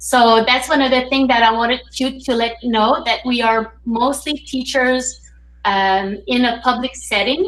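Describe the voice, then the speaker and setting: With a French Canadian accent, a woman speaks at high pitch. Her pace is fairly slow and her pitch varies in an ordinary way. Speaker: teacher hosting a reading circle. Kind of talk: online group discussion hosting. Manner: hesitant.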